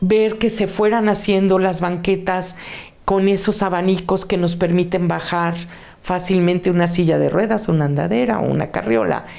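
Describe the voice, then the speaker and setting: A woman with a medium pitch and ordinary pitch variation is heard amid noticeable background noise and audible room echo. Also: moderate pace. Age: 60s. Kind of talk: testimony.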